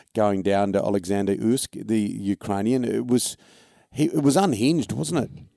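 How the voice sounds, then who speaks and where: A man with an Australian accent, fairly low-pitched with a dark, mellow tone and lively intonation, at a moderate pace, in a very clean recording with a silent background and a dry, close sound with no echo. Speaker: sports podcast host. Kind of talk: casual sports chat.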